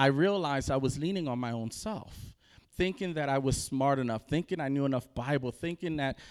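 This man has an ordinary speaking voice, fairly high in pitch, at a moderate pace on a very clean recording with a silent background. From Camden, New Jersey, US (Puerto Rican family). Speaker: rabbi, guest preacher. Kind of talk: sermon testimony. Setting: congregation pulpit, on camera.

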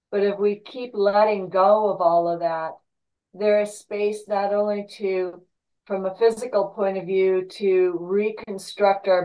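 Her pace is very slow as the woman speaks at a medium pitch. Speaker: class participant. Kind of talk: casual discussion sharing reflections.

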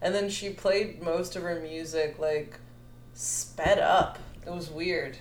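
Spoken very slowly with an American accent, the clip has audible room echo and noticeable background noise. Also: woman. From Chicago area, Illinois. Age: 20s. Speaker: podcast co-host. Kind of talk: casual chat.

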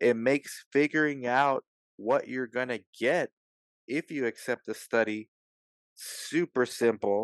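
With an ordinary speaking voice, a man talks at a fairly slow pace with ordinary pitch variation over a quiet background. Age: 40s. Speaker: podcast host and research site owner. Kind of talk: sponsor reads; casual interview chat.

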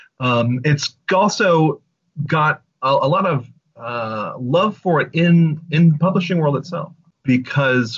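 A man's fairly high voice, somewhat breathy, with lively intonation and a very slow pace. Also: long, frequent pauses. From Louisiana. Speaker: bookstore events coordinator. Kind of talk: interview. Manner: halting, many fillers.

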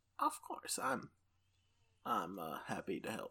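Gruff and raspy, this put-on character voice moves at a moderate pace. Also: man. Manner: small, gruff delivery.

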